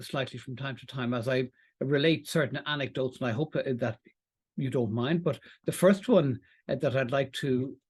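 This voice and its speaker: A man with an Irish accent talks at a moderate pace in a fairly high, somewhat breathy voice. The background is quiet. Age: 60s. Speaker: employment law presenter. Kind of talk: webinar lecture. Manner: halting, with fillers.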